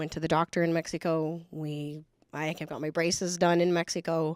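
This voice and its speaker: In a plain, everyday voice, a woman with a fairly low pitch speaks at a fairly slow pace, the sound dry and close with no echo in a very clean recording with a silent background. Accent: American. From El Paso, Texas (US border). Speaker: federal agent. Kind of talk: panel discussion.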